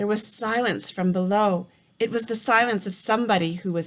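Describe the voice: The pitch varies in an ordinary way during this plain reading aloud.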